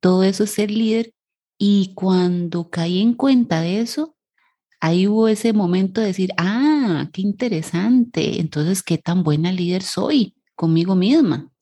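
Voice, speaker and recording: A woman's dark, mellow voice, somewhat breathy, at a fairly slow pace. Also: medium pitch for a woman, ordinary pitch variation, quiet background. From Costa Rica. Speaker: psychologist and leadership coach, podcast co-host. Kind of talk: casual chat. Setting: studio recording, 7am on a Saturday.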